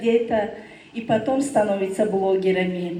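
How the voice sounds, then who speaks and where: A woman with a non-native accent speaks amid noticeable background noise and audible room echo. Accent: non-native Russian. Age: 30s. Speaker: direct sales business leader. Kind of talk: testimony speech. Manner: halting.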